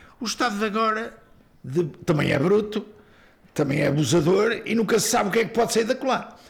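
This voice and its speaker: With noticeable background noise behind him, a man talks at a fairly quick pace in a high pitch. His intonation is lively, and he takes long, frequent pauses. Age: 70s. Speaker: singer-songwriter, teacher and coach. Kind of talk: elder life story, reflective interview recollection of the dictatorship years. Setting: interview.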